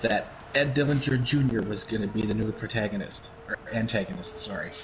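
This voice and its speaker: Noticeable background noise surrounds the recording. A man talks with an American accent. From Wisconsin, US Upper Midwest. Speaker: stream co-host. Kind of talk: casual chat.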